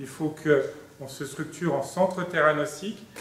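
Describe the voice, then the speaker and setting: A man speaks with a fairly high pitch. The recording has audible room echo and noticeable background noise. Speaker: nuclear medicine professor. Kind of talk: conference talk. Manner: hesitant with many fillers. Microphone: speaking without a microphone.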